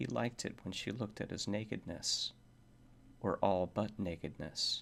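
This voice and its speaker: A soft-spoken man's fairly low voice with ordinary pitch variation at a moderate pace. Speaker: ASMR reader. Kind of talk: horror story reading.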